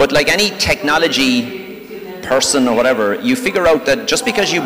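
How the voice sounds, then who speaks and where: This man has an Irish accent and a fairly high pitch with very wide pitch swings. Noticeable background noise sits behind him. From Ireland. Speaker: technology sales executive. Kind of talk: panel talk. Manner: fast.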